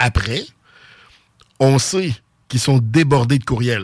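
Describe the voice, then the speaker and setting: A man speaks with a Quebec City accent at a medium pitch. His voice is somewhat breathy, with ordinary pitch variation. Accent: Sainte-Foy Quebec French. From Quebec, Sainte-Foy (Quebec City). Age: 40s. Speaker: youth sports club director. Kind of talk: radio interview.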